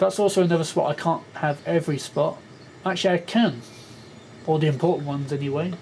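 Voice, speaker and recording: A man's fairly high voice at a very fast pace, broken by long, frequent pauses. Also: ordinary pitch variation. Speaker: gaming YouTuber. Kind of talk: gameplay commentary. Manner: mumbling; halting.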